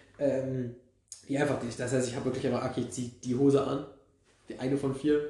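Over audible room echo, a man speaks at a fairly quick pace in a medium pitch, with monotone, flat intonation and long, frequent pauses. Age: 20s. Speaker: podcast co-host, history and archaeology student. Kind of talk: casual chat.

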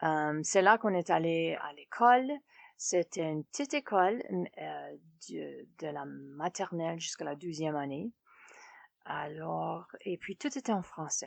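A woman speaks at a fairly slow pace with long, frequent pauses and big swings in loudness, in a dry, close sound with no echo. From Saskatchewan, Canada (Fransaskois farm community). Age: 50s. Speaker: francophone community member. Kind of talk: personal testimony interview. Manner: halting, many fillers and repetitions.

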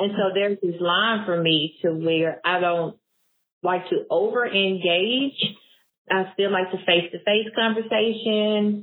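A woman with an Arkansas accent, fairly slow pace, medium pitch and fairly even intonation. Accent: Southern US (Arkansas). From US South, Blytheville, Arkansas. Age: 30s. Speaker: grant consultant and business founder. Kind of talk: interview conversation.

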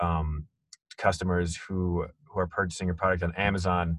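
Against a quiet background, a man speaks at a moderate pace in a very deep, low pitch. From small town. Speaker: podcast host. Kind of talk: interview. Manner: hesitant, many fillers.

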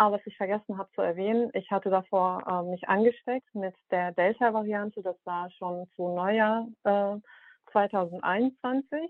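This is an ordinary speaking voice: a woman at medium pitch, going at a fairly slow pace. Her intonation is fairly even, but her loudness swings widely. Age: 30s. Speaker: caller with vaccine injury. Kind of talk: personal account and questions.

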